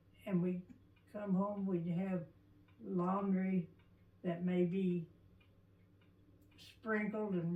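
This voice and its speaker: This woman has an American accent and a medium pitch. Her intonation stays monotone and flat over noticeable background noise. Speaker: oral history interviewee. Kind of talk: oral history interview. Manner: halting.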